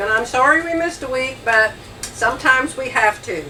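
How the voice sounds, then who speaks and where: A woman's raised, projected voice in an American accent, very slow pace, lively intonation, over noticeable background noise. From Phoenix, Arizona. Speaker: Bible study co-host. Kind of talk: Bible study. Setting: motorhome.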